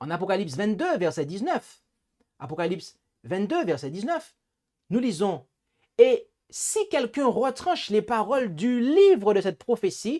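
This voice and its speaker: The speaker has a Martinican accent and leaves long, frequent pauses at a fairly slow pace. The recording is very clean, with a silent background. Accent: Antillean (Martinican) accent, noticeable. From Martinique. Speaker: preacher, Bible teacher. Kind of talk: Bible study lecture. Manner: hesitant, with repetitions and fillers.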